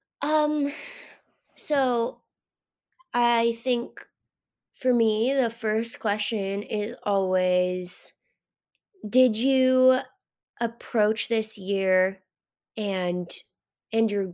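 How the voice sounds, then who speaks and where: A woman with an American accent, fairly high pitch and ordinary pitch variation, at a very slow pace with long, frequent pauses. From Alaska. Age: 20s. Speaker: professional distance runner. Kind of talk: casual interview chat. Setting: remote call.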